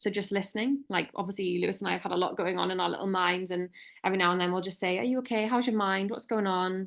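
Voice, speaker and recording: Against a quiet background, a woman speaks at a very fast pace with a medium pitch and fairly even intonation. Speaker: relationship podcast co-host. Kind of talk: casual chat.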